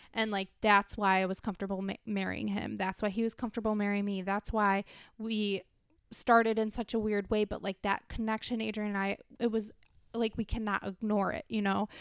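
A woman talks at a fairly quick pace and medium pitch in a monotone, flat intonation. The recording is very clean and dry, with a close sound, no echo and a silent background. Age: 20s. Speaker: podcast co-host. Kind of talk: casual chat.

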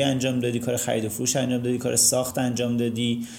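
The voice belongs to a man. Audible room echo follows his words. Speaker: architect and podcast host. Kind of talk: casual chat.

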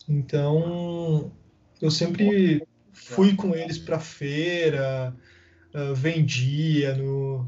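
A man's voice with fairly even intonation amid noticeable background noise. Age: 20s. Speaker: marketing manager. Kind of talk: casual interview chat. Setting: remote call.

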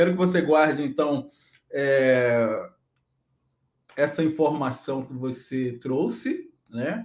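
Pausing long and often, a man with a fairly high pitch speaks at a very slow pace, with ordinary pitch variation and big swings in loudness. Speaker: live stream host. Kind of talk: biographical presentation; casual chat. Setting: live stream.

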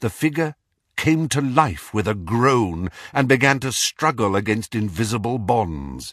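Over a quiet background, the plain reading aloud has lively intonation.

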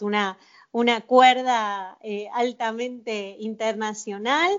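A woman talks at a very slow pace, with fairly high pitch and fairly even intonation. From Argentina, Mar del Plata. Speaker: tango singer and physicist. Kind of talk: interview. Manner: halting, many fillers.

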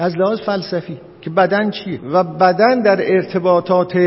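A man talks at a high pitch against noticeable background noise. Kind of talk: lecture. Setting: classroom with live audience. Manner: halting.

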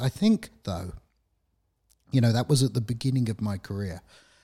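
This man talks at a moderate pace, somewhat breathy and with fairly even intonation. The sound is dry and close with no echo, very clean over a silent background. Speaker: IT professional, podcast co-host. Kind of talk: casual chat.

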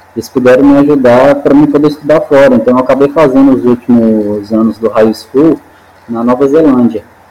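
Medium-pitched male voice against noticeable background noise. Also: fairly even intonation, fairly quick pace. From Minas Gerais, Brazil (Montes Claros, raised in Belo Horizonte). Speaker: climber, highliner, base jumper and coach. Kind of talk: casual interview.

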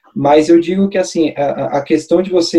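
Dark and mellow in tone yet high in pitch, a man's voice moves at a moderate pace. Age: 30s. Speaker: life insurance broker. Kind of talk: casual chat.

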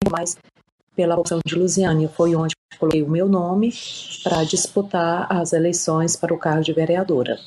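A woman speaks with fairly low pitch and a monotone, flat intonation. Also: moderate pace. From Brazil, Piauí. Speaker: city councillor and lawyer. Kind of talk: interview.

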